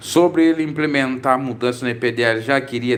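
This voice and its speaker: This man's speech is fairly quick. The voice belongs to a man. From Brazil, Santa Catarina. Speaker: preacher and religious commentator. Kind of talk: live stream Q&A.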